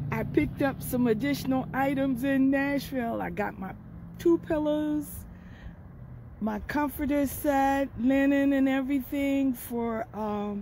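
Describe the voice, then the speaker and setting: A woman's high-pitched voice with a dark, mellow tone, fairly even intonation and a fairly slow pace, in a dry recording with no echo and light background noise. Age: 70s. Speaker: road trip vlogger. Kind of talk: casual talk to camera. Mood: upbeat, relaxed. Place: car. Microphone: phone near.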